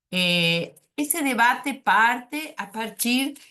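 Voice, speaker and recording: The voice has a bright, sharp tone and very wide pitch swings, delivered in a Spanish accent. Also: woman. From Uruguay. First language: Spanish (speaking Portuguese). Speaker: psychoanalyst. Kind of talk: academic presentation. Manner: hesitant, many filler sounds.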